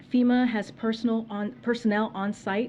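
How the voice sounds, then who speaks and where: A woman with an American accent speaks at a moderate pace. Her voice is somewhat breathy, with a dark, mellow tone. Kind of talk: press briefing, formal spoken remarks.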